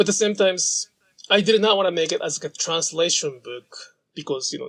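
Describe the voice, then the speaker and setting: A man with a Japanese accent speaks in a high voice with lively intonation. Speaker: sashiko practitioner and author. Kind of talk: interview conversation.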